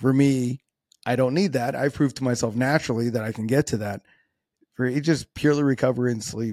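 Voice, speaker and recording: In a dry, close sound with no echo, a man of medium pitch speaks at a very fast pace with fairly even intonation. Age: 30s. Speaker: podcast host and natural physique competitor. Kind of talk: solo podcast monologue. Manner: casual, conversational with filler words.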